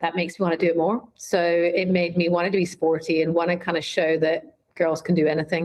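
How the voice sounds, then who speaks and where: A woman's fairly low voice, fairly quick and with hardly any pauses, in a monotone, flat intonation at very even loudness. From Scotland. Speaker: brand marketing executive. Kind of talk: interview conversation. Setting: podcast.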